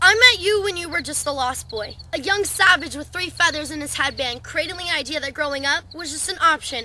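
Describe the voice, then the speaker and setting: Speaking at a fairly quick pace, a woman uses a raised, projected voice, with a dry sound, no echo and light background noise. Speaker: poet. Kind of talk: spoken word slam poetry performance. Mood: wistful, emotional. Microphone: webcam.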